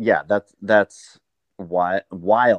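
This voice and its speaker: Here is a man with an American accent and a fairly low pitch. He talks at a fairly slow pace. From Montana. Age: 50s. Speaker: sauna business owner. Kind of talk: podcast interview.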